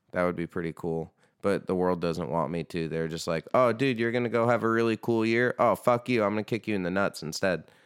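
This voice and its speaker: A man talks at a fairly quick pace with hardly any pauses, his voice fairly low with ordinary pitch variation, in a dry, close recording with no echo, very clean and against a silent background. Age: 30s. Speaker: podcast host and band musician. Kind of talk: casual chat. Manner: animated.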